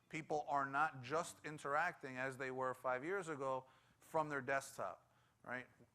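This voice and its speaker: A man with a New York accent has a fairly high pitch and a bright, sharp tone. His intonation is fairly even and his pace moderate. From New York City (Bronx). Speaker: tech conference speaker. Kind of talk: conference presentation.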